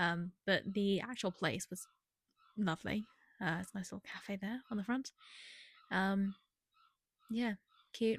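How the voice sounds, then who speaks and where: Speaking in a British accent, a woman has a somewhat breathy voice at medium pitch. She keeps a moderate pace and ordinary pitch variation. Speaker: book vlogger. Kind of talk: casual vlog. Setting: holiday rental house. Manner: hesitant, many fillers; whispering.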